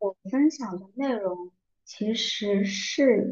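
Somewhat breathy, a woman's fairly high voice with a dark, mellow tone and ordinary pitch variation. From southern China. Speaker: book podcast host. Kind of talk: casual monologue. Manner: slow.

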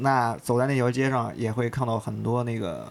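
The pace is moderate and the pitch medium. A man talks in a plain, everyday voice. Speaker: office colleague at a sneaker media outlet. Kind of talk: casual chat.

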